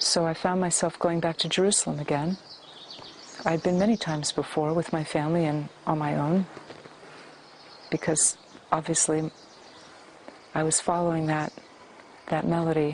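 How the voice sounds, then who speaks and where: A woman's very deep, low voice with an American accent, monotone and flat, at a moderate pace with long, frequent pauses over noticeable background noise. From US West Coast, San Francisco. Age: 60s. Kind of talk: testimony.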